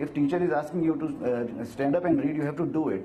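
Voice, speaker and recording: A man with an Indian accent talks fairly quickly at a fairly high pitch with ordinary pitch variation. Noticeable background noise and audible room echo are present. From India, Himachal Pradesh village. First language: Hindi. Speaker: actor, model and motivational speaker. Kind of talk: interview on stage. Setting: stage with audience at event. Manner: hesitant, frequent fillers.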